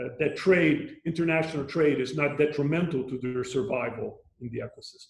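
With audible room echo and a quiet background, a man speaks at a fairly quick pace, with ordinary pitch variation and big swings in loudness. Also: fairly high pitch for a man. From Brazil, Rio de Janeiro. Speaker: UN environmental official. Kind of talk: interview. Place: home room. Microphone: video call.

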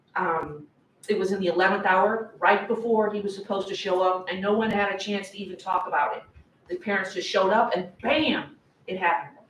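A woman at a fairly quick pace, with audible room echo and light background noise. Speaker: public commenter at school board meeting. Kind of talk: public comment speech. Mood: upset, insistent. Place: meeting room. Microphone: camera far.

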